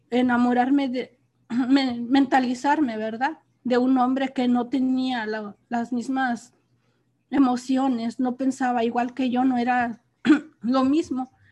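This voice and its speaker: A woman with a high pitch and a dark, mellow tone speaks at a very slow pace in a monotone, flat intonation. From Mexico, Hidalgo. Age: old. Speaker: factory worker. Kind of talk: casual chat.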